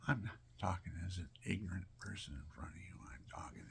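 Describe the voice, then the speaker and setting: A man whispers at a moderate pace. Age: 70s. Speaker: elderly vlogger with chronic pain. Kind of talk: rambling personal monologue.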